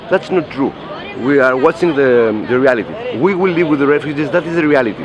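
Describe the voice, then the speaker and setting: A man talks at a fairly quick pace with lively intonation. Noticeable background noise is present. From Greece. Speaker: anarchist activist. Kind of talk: interview. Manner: halting, many fillers and repetitions.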